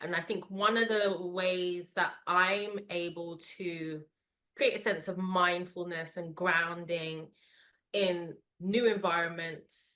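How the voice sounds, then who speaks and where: This woman has a London accent and a fairly low pitch. Her tone comes across bright and sharp. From London, England. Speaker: wellness podcast host. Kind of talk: interview conversation. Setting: video call.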